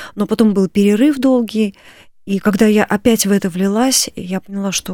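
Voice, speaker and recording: Her tone dark and mellow, a woman speaks at a medium pitch and moderate pace with fairly even intonation, in a dry, close sound with no echo. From Moscow, Russia. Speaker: composer and church choir director. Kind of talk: radio interview. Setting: studio.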